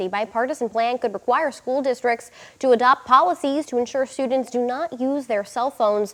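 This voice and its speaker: Her high voice runs at a fairly quick pace, as the woman's pitch varies in an ordinary way. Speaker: TV news anchor and reporter. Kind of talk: TV news anchoring.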